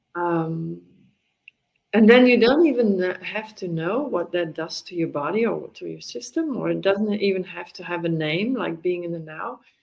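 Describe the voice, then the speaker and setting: A woman with a Dutch accent and a fairly low pitch talks at a moderate pace with ordinary pitch variation and big swings in loudness. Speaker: mindfulness teacher. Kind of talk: casual conversation interview. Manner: halting.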